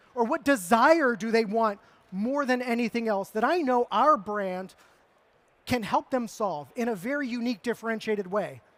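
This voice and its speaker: A man talks at an extremely high pitch with ordinary pitch variation. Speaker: marketing speaker. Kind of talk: conference talk. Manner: fast.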